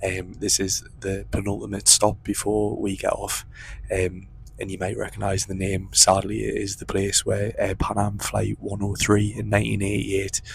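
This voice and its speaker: A man whispering at a moderate pace. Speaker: travel vlogger. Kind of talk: travel vlog narration. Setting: on a train; train station.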